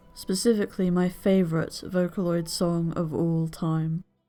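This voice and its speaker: A woman's fairly low-pitched voice with fairly even intonation, and music in the background. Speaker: video essayist. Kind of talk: scripted narration. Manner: monotone.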